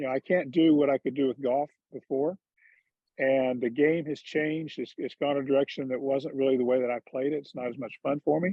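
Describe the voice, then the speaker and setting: A man's normal speaking voice, fairly high in pitch, at a fairly quick pace with fairly even intonation. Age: 60s. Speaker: former pro golfer and golf commentator. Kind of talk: casual chat. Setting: video call.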